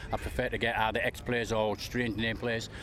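Against noticeable background noise, a man talks at a fairly quick pace and a medium pitch. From England. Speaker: NFL fan. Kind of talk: interview.

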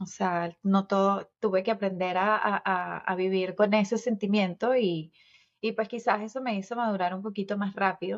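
A woman speaks in a monotone, flat intonation at a moderate pace. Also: medium pitch for a woman. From Venezuela. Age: 40s. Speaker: podcast co-host. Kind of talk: casual chat.

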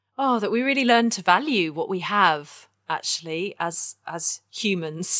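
A woman with a southern English accent speaks at a fairly slow pace on a very clean recording with a silent background. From southern England (Kent). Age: 30s. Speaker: ecological artist. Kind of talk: interview.

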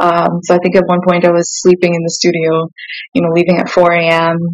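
Over background music, the speaker goes at a fairly quick pace in a flat, monotone delivery with a Canadian accent. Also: woman. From Saskatchewan, Canada (born South Sudan). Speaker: singer and musician. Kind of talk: interview. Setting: studio.

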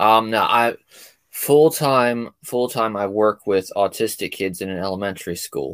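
In a plain, everyday voice, a man speaks at a fairly slow pace with a medium pitch and ordinary pitch variation. The sound is dry and close, with no echo. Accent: American. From US, South Jersey. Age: 30s. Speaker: comedian. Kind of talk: casual chat. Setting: video call.

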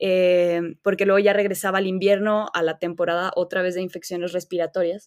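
Speaking in a central Mexican accent, a woman at medium pitch keeps a fairly quick pace with hardly any pauses and a monotone, flat intonation. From Mexico, León, Guanajuato. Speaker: physician. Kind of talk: interview.

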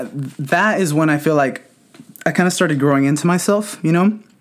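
With a Californian accent, a man talks at a fairly high pitch with ordinary pitch variation and very even loudness. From Southern California. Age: 20s. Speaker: podcast host. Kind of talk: personal storytelling monologue. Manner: casual, many filler words.

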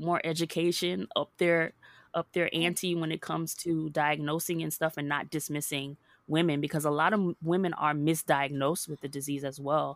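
The speaker has an American accent and a moderate pace with fairly even intonation. The recording is very clean with a silent background and a dry, close sound with no echo. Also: woman. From US South, Hollywood, Florida. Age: 30s. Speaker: women's empowerment speaker. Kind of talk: interview.

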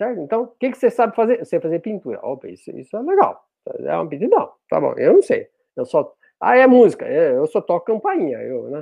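Big swings in loudness mark this man's voice. He talks at a fairly quick pace. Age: 50s. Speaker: spiritist speaker on online outreach. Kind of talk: casual chat. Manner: animated; halting.

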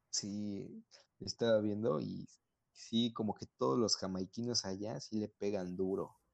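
With an ordinary speaking voice, a man talks at a fairly slow pace and a fairly low pitch, with ordinary pitch variation. The sound is dry and close with no echo, over a quiet background. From central Mexico. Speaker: podcast co-host. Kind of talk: casual chat.

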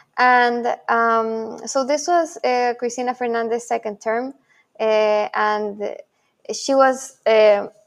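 Against a quiet background, a woman with a Spanish accent speaks at a fairly high pitch. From Chile (Santiago). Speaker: crypto journalist and media founder. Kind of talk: interview. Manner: hesitant, many fillers.

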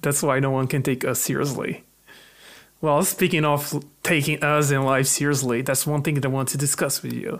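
A man's fairly high-pitched voice with a Portuguese accent, at a moderate pace and with fairly even intonation. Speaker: podcast co-host. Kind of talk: casual chat.

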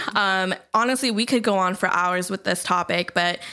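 In a very clean recording with a silent background, a woman with an American accent speaks at a medium pitch and moderate pace, her bright, sharp tone showing ordinary pitch variation. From Southern California, Long Beach. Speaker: podcast co-host. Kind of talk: casual chat.

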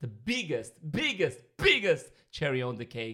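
At a moderate pace, a man speaks in an Armenian accent with a bright, sharp tone. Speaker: professional dancer. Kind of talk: casual chat.

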